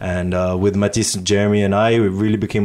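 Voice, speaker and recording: A man with a fairly low pitch talks at a moderate pace in a monotone, flat intonation. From Singapore. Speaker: DJ. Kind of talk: casual chat. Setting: living room.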